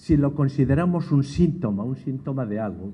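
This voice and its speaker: There is audible room echo as a man with a dark, mellow tone speaks at a moderate pace. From Spain. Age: 60s. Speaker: education expert, lecturer. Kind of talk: lecture.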